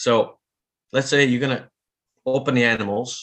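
A man speaks with an Italian accent. His pitch sits in the medium range. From Italy. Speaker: veterinarian and bowhunter. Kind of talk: casual interview. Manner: halting, repetitive.

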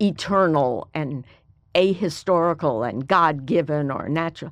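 A woman with an American accent speaks at a fairly slow pace in a fairly low voice with lively intonation, over a quiet background. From US South, Mobile, Alabama. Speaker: history professor. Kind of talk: interview.

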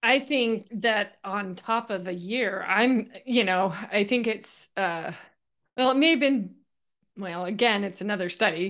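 Against a quiet background, a woman speaks fairly slowly at a medium pitch with ordinary pitch variation. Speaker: podcast host. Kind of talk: interview. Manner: animated.

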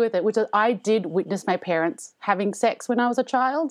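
Someone talks with an Australian accent. Behind the voice, things stay quiet. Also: woman. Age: 30s. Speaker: comedian. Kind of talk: casual chat. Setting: remote recording from home.

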